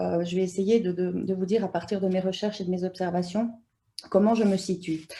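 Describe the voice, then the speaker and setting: A woman speaks at a moderate pace in a dark, mellow tone. Her voice is somewhat breathy. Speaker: anthropologist, university lecturer. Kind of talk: conference talk. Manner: hesitant, many fillers.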